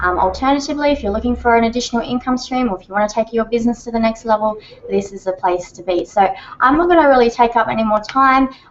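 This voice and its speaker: Over noticeable background noise, a woman with a fairly high pitch talks at a very fast pace, her pitch varying in an ordinary way. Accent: Australian. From Australia. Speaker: online marketing trainer and co-founder. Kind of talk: webinar sales pitch. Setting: live video hangout. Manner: animated.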